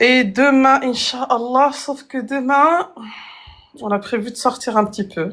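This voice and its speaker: Lively intonation from a woman at a very slow pace. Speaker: Arabic language teacher. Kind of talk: live online language lesson. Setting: live stream.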